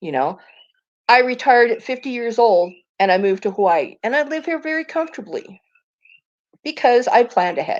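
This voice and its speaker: Speaking at a fairly quick pace with long, frequent pauses, a woman with a high voice makes very wide pitch swings against a quiet background. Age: 60s. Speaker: livestreamer. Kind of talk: casual chat.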